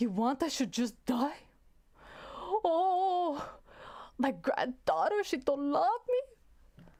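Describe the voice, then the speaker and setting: A female-sounding put-on character voice, whiny and high-pitched, drags along at a very slow pace with long, frequent pauses. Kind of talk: colloquial. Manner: whiny, guilt-tripping.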